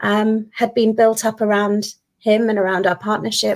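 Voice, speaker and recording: A woman with a British accent, fairly high in pitch, at a moderate pace. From UK. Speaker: guest. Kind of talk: testimony.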